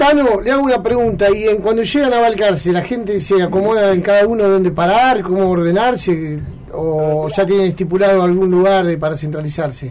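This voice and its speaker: Over noticeable background noise and audible room echo, a man with an Argentine accent speaks fairly quickly at a high pitch, his loudness very even. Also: ordinary pitch variation. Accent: Rioplatense Argentine Spanish. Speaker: radio host. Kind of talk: radio interview.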